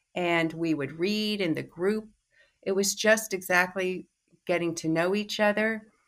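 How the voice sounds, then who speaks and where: A woman with an American accent and a plain, everyday voice, at a fairly slow pace with fairly even intonation. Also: medium pitch for a woman, very clean recording, silent background. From New York City. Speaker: psychoanalyst and teacher. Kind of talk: interview.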